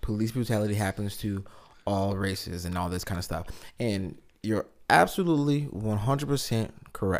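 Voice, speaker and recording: A plain, everyday voice from a man, fairly low in pitch, with ordinary pitch variation and a moderate pace. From Lansing, Michigan. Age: 30s. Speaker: podcast co-host. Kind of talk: casual chat.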